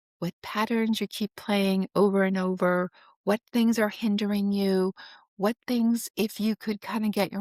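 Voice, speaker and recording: A woman with an ordinary speaking voice talks at a fairly slow pace in a medium pitch and fairly even intonation, the sound dry and close with no echo, on a very clean recording with a silent background. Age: 60s. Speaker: financial planner and Enneagram student. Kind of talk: casual interview conversation. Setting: podcast interview. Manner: many filler words, conversational.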